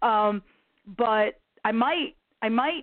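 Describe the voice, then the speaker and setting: With an American accent, a woman speaks at a fairly high pitch. Her pitch varies in an ordinary way. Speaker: singer-songwriter. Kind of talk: interview. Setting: phone call. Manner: animated.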